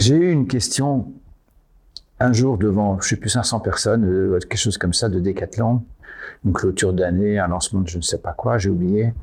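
In a very clean recording with a silent background, a man with a fairly low, somewhat breathy voice speaks with long, frequent pauses. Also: ordinary pitch variation, moderate pace. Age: 80s+. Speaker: company founder. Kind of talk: interview. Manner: halting.

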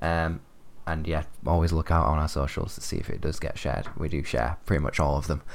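With a very deep, low pitch, a man talks at a fairly quick pace using fairly even intonation. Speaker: podcast co-host. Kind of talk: casual chat. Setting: recording at home.

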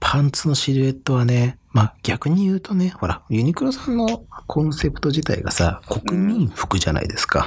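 Noticeable background noise behind a man at a fairly high pitch, very wide pitch swings, a moderate pace and hardly any pauses. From Japan, Saitama. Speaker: fashion podcast host. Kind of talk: casual chat.

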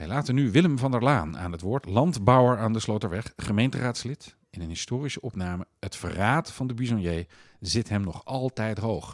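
A man speaks in a normal speaking voice at medium pitch, moderate pace, and hardly any pauses. His intonation is lively, and the sound is dry and close with no echo. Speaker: magazine editor-in-chief and podcast host. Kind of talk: podcast introduction and outro, scripted-sounding narration. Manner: formal, clear, storytelling.

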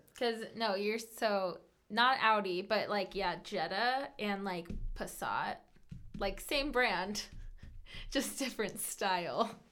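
A woman speaks in an American accent at a medium pitch. Her pace is very slow. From Colorado. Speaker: bank teller, host's fiancee. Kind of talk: casual chat. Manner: loud.

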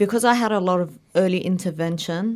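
With an Australian accent, a woman talks at a fairly slow pace using ordinary pitch variation. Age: 20s. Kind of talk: interview.

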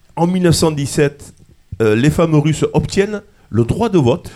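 Speaking at a fairly slow pace, a man has a dark, mellow tone and lively intonation. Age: 60s. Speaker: radio host in a retirement home. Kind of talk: casual radio discussion.

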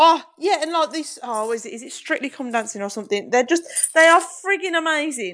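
Pitched high, a woman speaks in a bright, sharp tone at a fairly quick pace, with very wide pitch swings and big swings in loudness. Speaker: professional triathlete. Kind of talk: casual chat.

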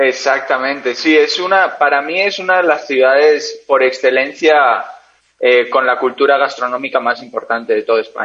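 Using a normal speaking voice, a man talks at a moderate pace in a fairly high pitch with ordinary pitch variation. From Spain, Basque Country (San Sebastián). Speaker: endurance cyclist. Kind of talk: interview.

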